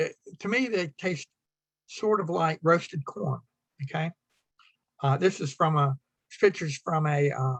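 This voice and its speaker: A man speaks at a fairly high pitch with ordinary pitch variation. His somewhat breathy voice has a dry, close sound with no echo. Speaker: beekeeping speaker. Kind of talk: club talk with slides. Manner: fast; halting, many fillers.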